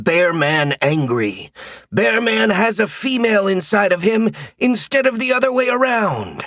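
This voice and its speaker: A man's high-pitched, growling put-on character voice. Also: moderate pace. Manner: exaggerated, playful.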